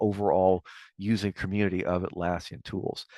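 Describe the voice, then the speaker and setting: This man's voice sits at a fairly low pitch. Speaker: software consultant and webinar presenter. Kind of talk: webinar presentation. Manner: fast; halting, many filler words.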